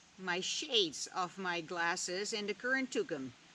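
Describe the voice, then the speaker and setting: A woman with a Dutch accent. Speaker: vlogger. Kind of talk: reflective monologue.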